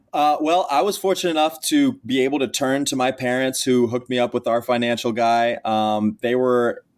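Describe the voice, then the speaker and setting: In a normal speaking voice, a man with an American accent talks at a medium pitch and a moderate pace, with hardly any pauses. His pitch varies in an ordinary way, his loudness stays very even, and the recording is very clean with a silent background. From Texas. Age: 20s. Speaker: college athlete and NIL advocate. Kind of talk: podcast interview.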